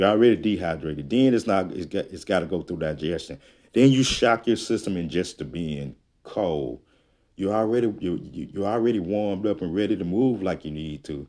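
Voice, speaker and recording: A man with a very deep, low voice and a dark, mellow tone speaks at a fairly quick pace with lively intonation on a very clean recording with a silent background. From US South, Jackson, Mississippi. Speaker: health coach and podcast host. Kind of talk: solo podcast monologue.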